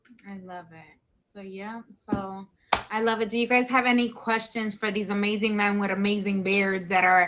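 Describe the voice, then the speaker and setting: Keeping her intonation fairly even, the woman talks at a moderate pace. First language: not English. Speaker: talk show host. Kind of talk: live stream chat.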